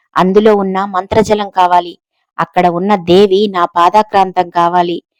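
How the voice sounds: In a natural reading voice, the intonation stays fairly even against a quiet background.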